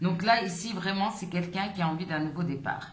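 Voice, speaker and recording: Noticeable background noise and audible room echo fill the recording. The pitch varies in an ordinary way. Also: woman. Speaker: tarot reader. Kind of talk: tarot reading. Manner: halting, hesitant.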